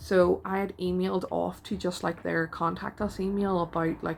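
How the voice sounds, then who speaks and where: A woman with a Northern Irish accent speaks at a moderate pace. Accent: Northern Irish (Belfast). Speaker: artist and vlogger. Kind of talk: casual vlog talk. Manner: hesitant, with many fillers.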